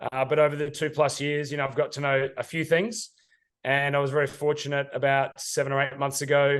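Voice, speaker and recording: Talking at a fairly quick pace, a man with an Australian accent uses a fairly high pitch and monotone, flat intonation. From Australia, Sydney. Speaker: ad tech sales executive. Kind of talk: interview. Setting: studio.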